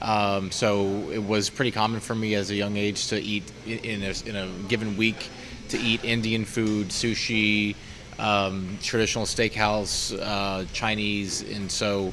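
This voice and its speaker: Monotone, flat intonation at a fairly slow pace over noticeable background noise. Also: man, fairly low pitch for a man. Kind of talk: interview answer. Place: cafe.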